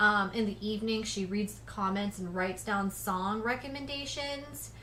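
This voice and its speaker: A woman in an unremarkable speaking voice, medium-pitched, at a moderate pace, with ordinary pitch variation and big swings in loudness. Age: 30s. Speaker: reaction channel host. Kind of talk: livestream Q&A chat. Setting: home office.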